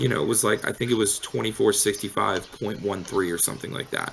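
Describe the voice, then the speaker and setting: Loud and fairly quick, a man speaks with a fairly low pitch and ordinary pitch variation. Noticeable background noise runs underneath. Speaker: crypto trading bot developer. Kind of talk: casual chat.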